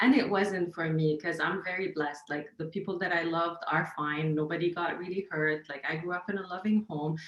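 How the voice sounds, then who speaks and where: A woman with an Arabic accent talks at a fairly quick pace with hardly any pauses, her pitch fairly low, over noticeable background noise. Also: fairly even intonation. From Lebanon. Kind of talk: casual chat.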